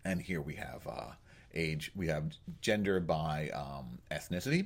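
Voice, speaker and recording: The speaker goes at a fairly slow pace, with vocal fry in the voice. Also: man, very deep, low pitch for a man, ordinary pitch variation. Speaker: epidemiology instructor. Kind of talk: tutorial screencast. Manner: conversational with fillers and self-corrections.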